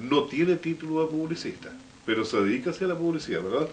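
Over light background noise, a man talks at a fairly quick pace with lively intonation. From Biobío, Chile. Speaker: local radio/TV program host; local radio, TV program host. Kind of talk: interview talk show. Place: studio.

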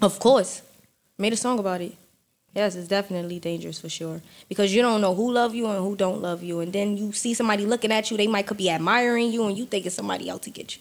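With a New York accent, a woman speaks at a very fast pace using fairly even intonation. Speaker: rapper; podcast guest. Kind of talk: casual chat. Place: studio. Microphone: studio mic.

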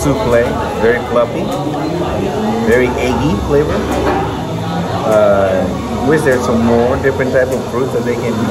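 A man over loud background noise, at a moderate pace with long, frequent pauses. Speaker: vlogger reviewing food. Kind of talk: casual food review chat. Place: cafe. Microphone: phone near.

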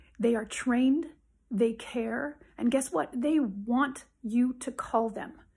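A woman's fairly high voice with ordinary pitch variation, very slow pace, and a quiet background. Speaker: psychologist. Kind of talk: direct-to-camera advice video. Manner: emphatic. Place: home room. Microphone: phone near.

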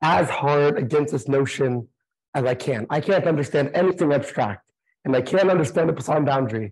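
A man talks at a moderate pace with ordinary pitch variation and a somewhat breathy sound. The background is quiet. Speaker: mathematician; conference speaker. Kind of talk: lecture. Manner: quieter than usual. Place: classroom. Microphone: lapel.

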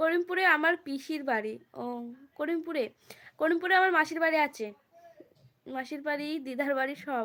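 Her voice sits high. The pitch rises and falls in an ordinary way. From West Bengal, Nadia district (Karimpur). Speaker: live-streaming YouTuber. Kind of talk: casual live-stream chat reading comments.

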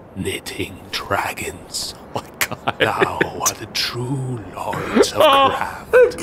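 A man performs a cartoonish character voice at a very slow pace. Clear background noise is present. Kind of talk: mock-archaic villain speech. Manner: menacing, smug.

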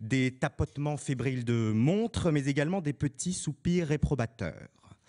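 Over a quiet background, a man with a fairly high pitch speaks at a very slow pace with lively intonation, with a dry, close sound and no echo. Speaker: student speaker. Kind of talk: oratory speech. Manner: formal.

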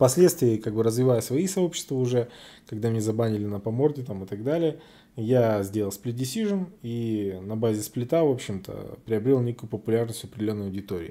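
A man talks at a fairly quick pace. His tone is dark and mellow, with ordinary pitch variation. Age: 30s. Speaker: MMA blogger. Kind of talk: casual podcast monologue. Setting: Telegram voice stream. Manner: casual, profane. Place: hall.

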